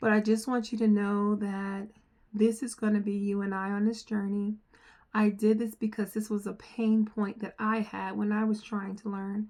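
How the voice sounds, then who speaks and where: A woman with an American accent talks at a moderate pace and a fairly high pitch. Her tone is dark and mellow, her intonation monotone and flat. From New Jersey. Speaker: software trainer. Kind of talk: casual promotional talk to camera. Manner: earnest, conversational with fillers.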